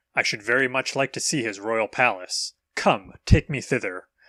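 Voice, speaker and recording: Putting on a character voice, a man speaks at a medium pitch and moderate pace on a very clean recording with a silent background. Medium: read story.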